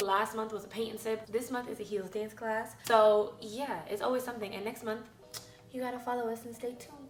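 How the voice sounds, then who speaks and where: An animated woman's voice, fairly high and fairly quick, with audible room echo and music in the background. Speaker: lifestyle YouTuber and fitness coach. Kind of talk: casual vlog talk.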